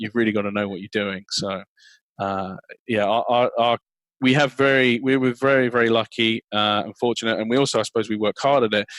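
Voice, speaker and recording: On a very clean recording with a silent background, a man at a medium pitch speaks at a fairly quick pace. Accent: English. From England. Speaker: sales and marketing executive. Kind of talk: interview. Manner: halting, many repeated words.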